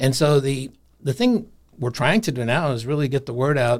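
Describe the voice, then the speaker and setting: An American-accented man with a normal speaking voice talks at a moderate pace with fairly even intonation on a very clean recording with a silent background. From Iowa, US Midwest. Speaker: university career services director. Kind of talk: interview. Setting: studio.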